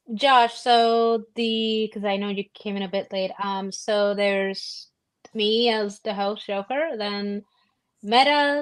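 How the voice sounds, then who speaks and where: Over a quiet background, a woman talks very slowly in a fairly high voice with fairly even intonation. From Puerto Rico. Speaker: streamer. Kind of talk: casual chat. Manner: halting.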